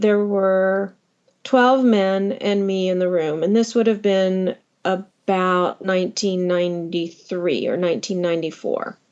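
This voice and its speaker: A woman with an ordinary speaking voice, a fairly slow pace, medium pitch and fairly even intonation. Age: 60s. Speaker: electrical engineer. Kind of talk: interview storytelling.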